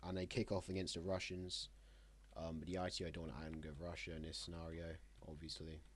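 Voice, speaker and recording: There is vocal fry in this fairly quick delivery, and the room echo is audible. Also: man. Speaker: map game commentator. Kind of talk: casual gameplay narration. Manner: halting.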